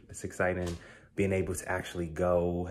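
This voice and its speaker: A man speaks with a very deep, low voice. Light background noise is present. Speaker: realtor vlogger. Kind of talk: casual vlog chat. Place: kitchen. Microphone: phone near.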